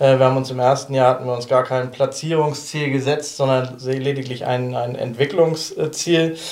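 A man with a medium pitch talks at a moderate pace while noticeable background noise fills the clip. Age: 40s. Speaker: football coach. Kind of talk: casual chat.

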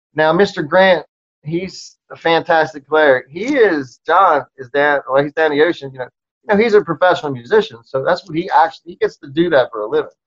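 The speaker has an American accent. Loudness swings widely from moment to moment. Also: man, high pitch for a man, ordinary pitch variation, fairly quick pace, dry, close sound with no echo. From Maryland (Towson, outside Baltimore). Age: 50s. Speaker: rock musician. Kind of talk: casual interview chat. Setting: video call.

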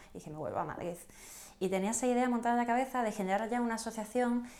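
A woman's voice with noticeable background noise. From southern Spain (Canary Islands and Andalusia). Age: 20s. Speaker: entrepreneur, association president. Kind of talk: casual interview.

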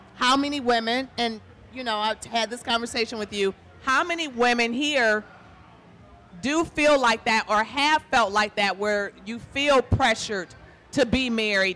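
A woman with an American accent and fairly high pitch at a moderate pace, with ordinary pitch variation and noticeable background noise. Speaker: author of the book. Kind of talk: talking about her book to a live audience. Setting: live bar venue with audience.

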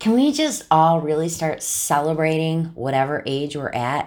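A woman speaks in a very deep, low pitch at a fairly slow pace with an animated tone. The recording is very clean, with a silent background. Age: 50s. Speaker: podcast host and boutique owner. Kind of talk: casual monologue.

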